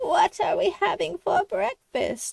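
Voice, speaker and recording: A squeaky put-on character voice at an extremely high pitch and a fairly slow pace. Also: dry, close sound with no echo. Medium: read story.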